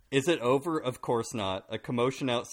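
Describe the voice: The clip is a plain reading aloud, and its pitch varies in an ordinary way.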